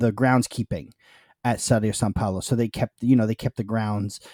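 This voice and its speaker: In a New York accent, a man speaks with fairly even intonation in a dry, close sound with no echo. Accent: New York American. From US, New York. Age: 30s. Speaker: football fan podcaster. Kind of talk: casual chat.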